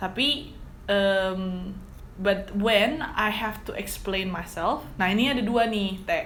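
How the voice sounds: She talks slowly at a medium pitch, her tone fairly bright and her pitch varying in an ordinary way.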